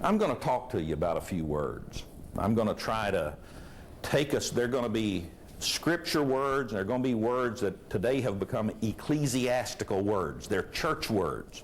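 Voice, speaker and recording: Man with a medium pitch, vocal fry, lively intonation and very even loudness, plus audible room echo. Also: moderate pace. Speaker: preacher. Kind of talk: sermon. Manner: conversational, rhetorical questions to audience.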